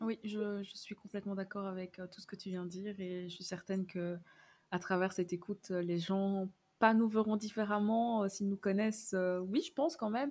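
A woman with an ordinary speaking voice at a medium pitch, fairly even intonation, a moderate pace and big swings in loudness. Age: 20s. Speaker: communications graduate. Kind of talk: casual chat. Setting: remote call.

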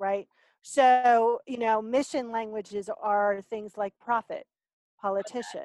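A plain, everyday voice moves at a fairly slow pace with fairly even intonation, in a dry, close sound with no echo against a quiet background. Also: woman, fairly high pitch for a woman. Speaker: soul language coach. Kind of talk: interview.

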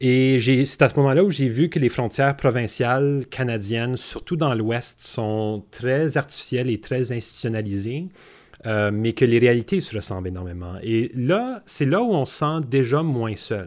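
A plain, everyday voice at a fairly slow pace, with ordinary pitch variation. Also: man, medium pitch for a man. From Manitoba, Canada. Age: young. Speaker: businessman. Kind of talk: panel discussion.

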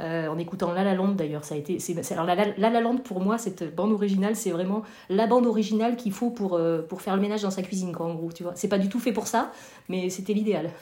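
Ordinary pitch variation marks the voice, which runs at a very fast pace. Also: woman, medium pitch for a woman. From France, Corrèze (rural). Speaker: amateur improv actor. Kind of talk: casual interview. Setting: remote call. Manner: halting, many hesitations.

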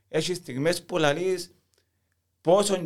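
A man speaks with a Cypriot accent. His pace is fairly slow, with ordinary pitch variation. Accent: Cypriot Greek. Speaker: football fan. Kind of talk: casual chat.

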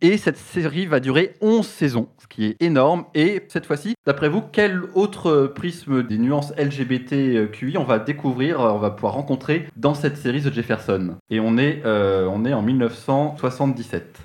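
A man speaks at a fairly slow pace and medium pitch, with hardly any pauses. His pitch swings very widely. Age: 30s. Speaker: TV series columnist. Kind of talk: radio column.

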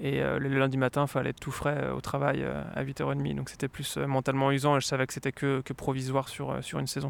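The man talks at a fairly quick pace. He leaves hardly any pauses. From France, Lyon. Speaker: former professional cyclist. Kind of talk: interview.

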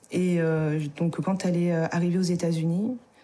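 A woman with a fairly low pitch and a dark, mellow tone talks at a fairly slow pace. Her intonation stays fairly even. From France, Isère. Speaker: adoptee and adoptee association member. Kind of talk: testimony.

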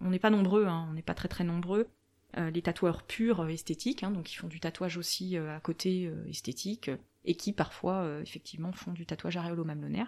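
Through a very clean recording with a silent background, a woman speaks at a fairly low pitch. Her pace is moderate and her intonation fairly even. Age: 30s. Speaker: medical tattoo artist, former nurse. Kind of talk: interview conversation. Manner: hesitant, many fillers.

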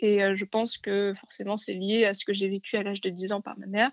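A woman speaks in a medium pitch. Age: 20s. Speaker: graphic design student sharing her experience. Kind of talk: testimony. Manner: halting.

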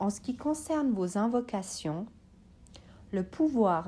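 Speaking at a very slow pace, a woman uses lively intonation at a medium pitch. Her tone is dark and mellow and somewhat breathy. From Switzerland, Bosnian family background. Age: 30s. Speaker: psychology student. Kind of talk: scripted talk.

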